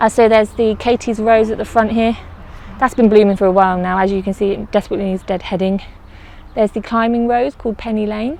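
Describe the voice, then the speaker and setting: A woman with an English accent speaks at a very fast pace and fairly high pitch, her intonation fairly even, in a dry sound with no echo. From England. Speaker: allotment gardener vlogger. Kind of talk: casual vlog walkthrough. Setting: outdoors on allotment. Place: garden. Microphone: phone near.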